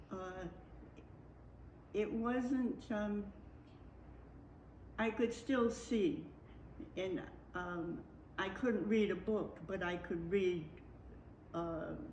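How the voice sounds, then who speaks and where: The speaker goes at a very slow pace with long, frequent pauses and ordinary pitch variation. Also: woman, medium pitch for a woman. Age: 80s+. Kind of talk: interview answer.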